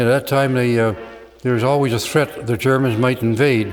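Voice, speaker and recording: With music in the background, a man with a Canadian accent speaks at a fairly quick pace, his medium-pitched voice keeping a fairly even intonation. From Canada. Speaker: war veteran. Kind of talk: testimony. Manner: halting.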